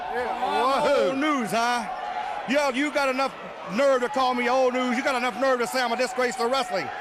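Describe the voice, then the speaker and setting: Over crowd noise in the background, a man speaks at an extremely high pitch with ordinary pitch variation and very even loudness. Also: moderate pace. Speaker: professional wrestler. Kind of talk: wrestling promo.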